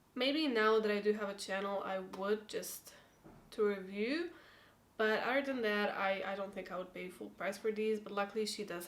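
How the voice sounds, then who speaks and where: A woman with a non-native accent speaks at a medium pitch with ordinary pitch variation. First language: not English. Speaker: beauty YouTuber. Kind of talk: product review vlog. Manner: casual, hesitant.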